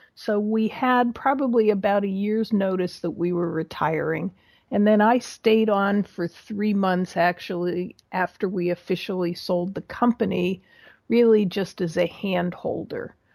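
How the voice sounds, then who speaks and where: Here a woman talks in a plain, everyday voice, medium in pitch with ordinary pitch variation and a fairly slow pace. The recording is very clean with a silent background. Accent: American. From Pittsburgh area, US. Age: 60s. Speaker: small business mentor, retired business owner. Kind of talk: casual interview.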